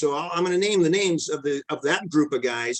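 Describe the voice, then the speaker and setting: A man speaks in an ordinary speaking voice with an American accent. His pitch is fairly high, and his pace is fairly quick. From Lompoc, California. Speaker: former runner and teacher. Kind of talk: interview answer. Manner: casual, conversational.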